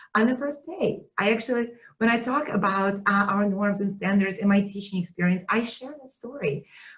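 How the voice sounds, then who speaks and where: A woman speaks with a Russian accent at medium pitch. Her pitch varies an ordinary amount. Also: moderate pace, big swings in loudness. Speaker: teaching center director. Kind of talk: webinar conversation. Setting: video webinar.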